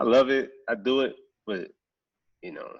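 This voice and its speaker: A man with a New Orleans accent against a quiet background. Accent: Southern US, New Orleans. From US South, New Orleans, Louisiana. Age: 20s. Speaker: professional sprinter. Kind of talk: casual podcast interview. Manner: casual, repetitive with many fillers.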